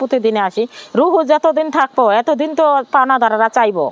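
A woman talks at a high pitch with ordinary pitch variation. The sound is dry and close with no echo, though background noise is noticeable. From Bangladesh, Noakhali (Sonaimuri). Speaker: widow, former migrant domestic worker. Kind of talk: personal testimony interview.

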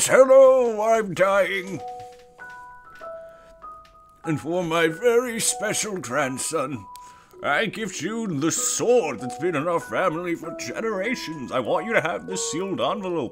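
A man's high-pitched put-on character voice at a fairly slow pace, with clear music in the background. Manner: frail, solemn.

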